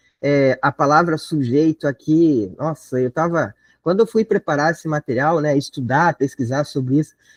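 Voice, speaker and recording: A man with a plain, everyday voice, fairly high in pitch, at a moderate pace with ordinary pitch variation and hardly any pauses, dry and close with no echo over a quiet background. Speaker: teacher preparing students for an exam. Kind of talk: online lecture. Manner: casual, conversational.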